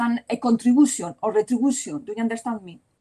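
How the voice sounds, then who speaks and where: A woman's high-pitched voice with a dark, mellow tone and a Spanish accent. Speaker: law professor. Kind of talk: Q&A discussion; conference presentation. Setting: conference. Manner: halting.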